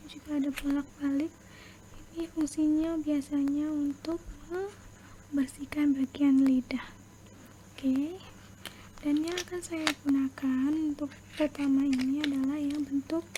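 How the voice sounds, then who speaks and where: Soft-spoken and fairly slow, a woman talks in a monotone, flat way over noticeable background noise. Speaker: ASMR creator doing dentist roleplay. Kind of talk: ASMR dentist roleplay, explaining a teeth cleaning. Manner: soft-spoken, slow.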